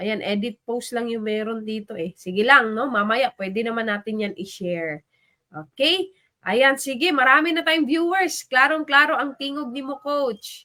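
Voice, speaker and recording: With a high pitch, bright and sharp tone, and lively intonation, a woman sounds animated while speaking at a moderate pace. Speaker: live stream host. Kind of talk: livestream shout-outs.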